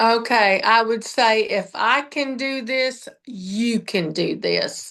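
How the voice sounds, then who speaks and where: Very slowly and over a quiet background, a woman talks in a bright, sharp tone at a fairly high pitch. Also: ordinary pitch variation. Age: 60s. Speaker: fitness coaching client. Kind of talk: interview testimony. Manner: halting, many fillers.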